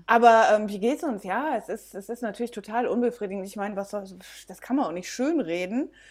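On a very clean recording with a silent background, a woman speaks with lively intonation at a fairly high pitch. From Belgium. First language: bilingual Dutch and German (speaking German). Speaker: B&B owner. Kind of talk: casual interview.

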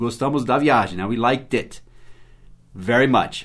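With an English accent, a man at a medium pitch talks at a fairly slow pace with ordinary pitch variation. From United States. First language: English (speaking Portuguese). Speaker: English teacher. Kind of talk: language lesson.

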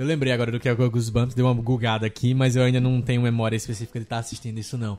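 At a very fast pace, a man talks in a medium pitch with monotone, flat intonation. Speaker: podcast host. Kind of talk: casual chat.

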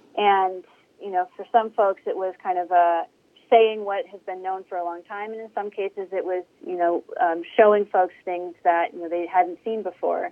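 At a moderate pace, a woman speaks in a flat monotone, with big swings in loudness. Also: medium pitch for a woman. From Northeast Ohio, Mahoning Valley. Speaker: community health nonprofit director. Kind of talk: interview.

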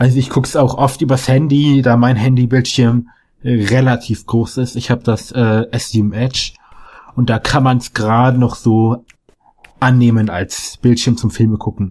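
This is an unremarkable speaking voice at a fairly slow pace. Its intonation stays fairly even. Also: man, medium pitch for a man. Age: young. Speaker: gamer guest. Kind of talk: casual chat. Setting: remote call.

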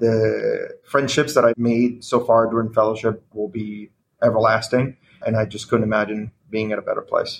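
A man speaks at a medium pitch and moderate pace in a monotone, flat delivery. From Venezuela. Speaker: cardiology fellow. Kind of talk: medical case presentation.

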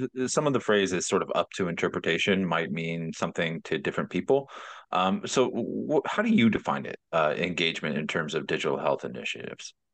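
Very fast speech with vocal fry and very wide pitch swings over a quiet background. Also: man. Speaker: podcast host. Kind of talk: interview.

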